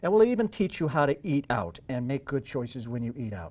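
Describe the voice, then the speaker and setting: A man with a normal speaking voice and a fairly high pitch uses lively intonation, recorded very cleanly against a silent background. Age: 60s. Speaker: health coach promoting a diet program. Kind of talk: sales pitch.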